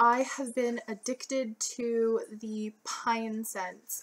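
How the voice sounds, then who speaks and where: Over noticeable background noise, a woman speaks at a very slow pace with a fairly high pitch. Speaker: beauty and lifestyle vlogger. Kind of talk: casual vlog talk.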